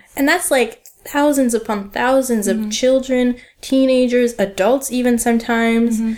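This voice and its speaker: A woman with a Canadian accent, her high voice fairly even in intonation, over noticeable background noise. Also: moderate pace. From Canada, Ottawa. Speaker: museology graduate. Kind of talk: casual chat.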